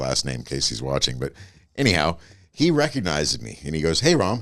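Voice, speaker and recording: A man talks at a very fast pace. His voice is very deep and low, with vocal fry. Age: 50s. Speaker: podcast guest. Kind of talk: casual chat. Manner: animated storytelling.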